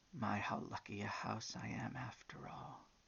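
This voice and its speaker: A man whispering in a put-on character voice at a moderate pace. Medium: read story.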